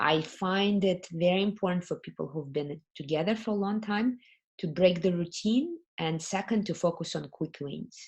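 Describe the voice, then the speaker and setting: Here is a woman with a fairly low, somewhat breathy voice. Her pitch varies in an ordinary way. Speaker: workshop facilitator. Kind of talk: live webinar talk. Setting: live online event. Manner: slow.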